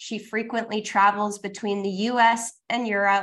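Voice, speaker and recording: A woman's fairly high voice at a fairly slow pace, an unremarkable speaking voice, on a very clean recording with a silent background. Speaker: podcast host. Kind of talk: interview.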